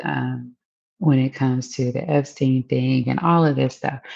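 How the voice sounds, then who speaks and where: The voice is quiet. It moves at a moderate pace. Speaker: political commentary streamer. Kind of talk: casual live-stream monologue. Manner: quiet, low volume; casual, filler-heavy.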